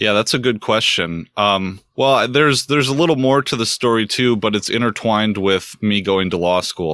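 On a very clean recording with a silent background and a dry, close sound with no echo, a man talks at a fairly low pitch in a bright, sharp tone with ordinary pitch variation. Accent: American. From US Midwest, north central Wisconsin. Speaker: law student or legal professional. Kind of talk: interview. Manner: halting, many fillers.

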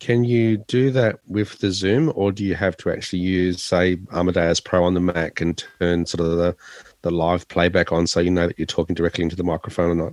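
In an Australian accent, a man talks at a fairly quick pace with a very deep, low pitch and fairly even intonation, the sound dry and close with no echo against a quiet background. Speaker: tech podcast co-host and radio presenter. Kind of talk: casual tech chat. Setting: late evening at home office.

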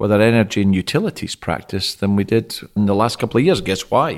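Here a man speaks quickly, with a fairly low pitch and a Scottish accent. The recording is very clean, with a silent background. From Scotland. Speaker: tech industry team lead. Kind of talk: casual industry discussion. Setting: studio.

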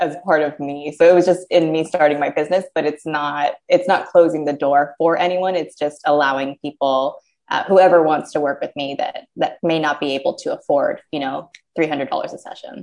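With an American accent, a woman with a very deep, low pitch talks at a moderate pace with ordinary pitch variation and hardly any pauses. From USA. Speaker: diversity and inclusion consultant. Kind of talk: casual interview. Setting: small office, video call.

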